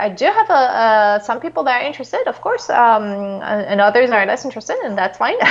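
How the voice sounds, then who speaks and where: Lively intonation in a French accent. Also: woman. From France. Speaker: psychologist and author. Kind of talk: interview. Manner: halting, many fillers.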